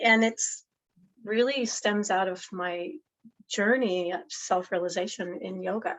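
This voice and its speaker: Delivered at a fairly slow pace, an unremarkable speaking voice carries ordinary pitch variation. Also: woman, medium pitch for a woman. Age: 60s. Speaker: yoga and meditation teacher. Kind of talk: casual chat.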